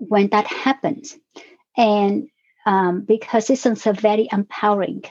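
Dry and close with no echo, a woman's voice sits at a fairly high pitch. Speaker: podcast guest, emotional wellness coach. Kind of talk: calm, explanatory. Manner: speaks slowly and deliberately.

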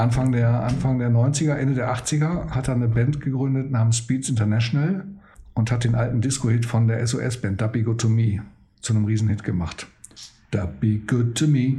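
There is audible room echo around a man's dark, mellow, somewhat breathy voice at medium pitch. He talks at a moderate pace with ordinary pitch variation. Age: 50s. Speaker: DJ and podcast host. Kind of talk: casual chat. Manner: animated.

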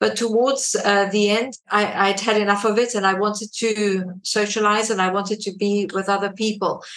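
Over noticeable background noise, a woman speaks in a medium pitch with monotone, flat intonation, very even loudness and hardly any pauses. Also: moderate pace. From South Africa. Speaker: radio presenter. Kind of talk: interview.

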